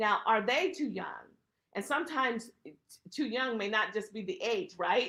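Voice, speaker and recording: A woman at a fairly high pitch and a moderate pace, her intonation lively. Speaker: estate planning attorney. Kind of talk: webinar presentation. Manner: emphatic.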